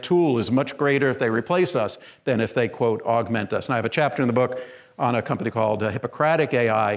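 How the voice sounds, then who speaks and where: Here a man speaks with an unremarkable speaking voice. His pace is fairly quick, with ordinary pitch variation. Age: 60s. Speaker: physician giving a keynote talk. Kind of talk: conference presentation. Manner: conversational, with many fillers and restarts.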